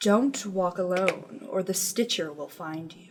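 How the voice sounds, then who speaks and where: A female-sounding put-on character voice at a medium pitch moves along at a fairly slow pace. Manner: spooky, ominous.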